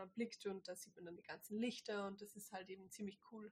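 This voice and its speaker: A somewhat breathy voice with flat, monotone intonation. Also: woman. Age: 20s. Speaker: host's girlfriend, product lister. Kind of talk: casual chat.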